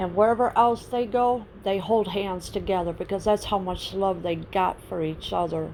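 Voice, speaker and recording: A woman speaks in an ordinary speaking voice at a medium pitch and a moderate pace. Her intonation is fairly even, and she takes hardly any pauses. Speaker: political commentary vlogger. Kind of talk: casual talk to camera.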